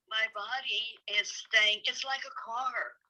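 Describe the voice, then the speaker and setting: With an American accent, a woman speaks at a very slow pace. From US South, North Carolina. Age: 70s. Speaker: hiking guide. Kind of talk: casual chat.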